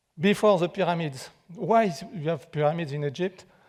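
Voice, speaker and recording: A man speaks with a French accent at a moderate pace. His pitch is high, with ordinary variation. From France. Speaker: architect and pyramid researcher, guest lecturer. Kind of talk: public lecture. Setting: theater with live audience. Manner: halting, many fillers and restarts.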